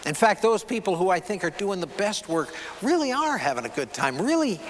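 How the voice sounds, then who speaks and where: Over noticeable background noise, a man with a high pitch and a warm tone speaks at a moderate pace. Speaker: keynote speaker and photographer. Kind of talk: keynote speech to an audience. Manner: warm, conversational, engaging.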